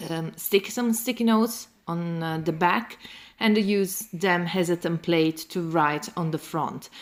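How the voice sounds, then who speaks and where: Speaking at a fairly slow pace, a woman with a fairly low pitch talks in an Italian accent. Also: ordinary pitch variation. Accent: non-native, Italian-accented English. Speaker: planner youtuber. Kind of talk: tutorial. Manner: halting, many fillers.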